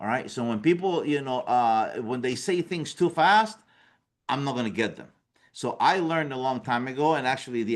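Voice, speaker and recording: A man with a non-native accent speaks at a moderate pace with medium pitch and lively intonation against a quiet background. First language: not English. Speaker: business coach. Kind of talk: workshop presentation. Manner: conversational, repetitive fillers.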